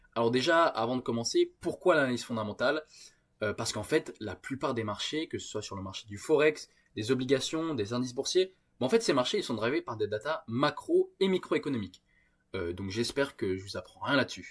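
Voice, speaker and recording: On a very clean recording with a silent background, a man at medium pitch talks at a fairly quick pace with lively intonation and big swings in loudness. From France. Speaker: trading YouTuber. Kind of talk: screen-share tutorial. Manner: hesitant, many filler sounds.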